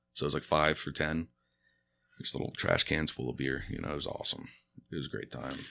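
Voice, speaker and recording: A man's very deep, low voice with vocal fry and a bright, sharp tone, monotone and flat, very fast yet broken by long, frequent pauses. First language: Spanish. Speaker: stand-up comedian. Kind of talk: casual chat. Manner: casual, halting with fillers.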